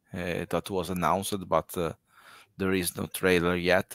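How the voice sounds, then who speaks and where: Over a quiet background, a man with an Italian accent speaks at a fairly slow pace in a very deep, low pitch, the sound dry with no echo. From Italy. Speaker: podcast host, horror film fan; podcast host. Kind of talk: live interview. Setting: video call livestream. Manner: halting, frequent fillers. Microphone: headset.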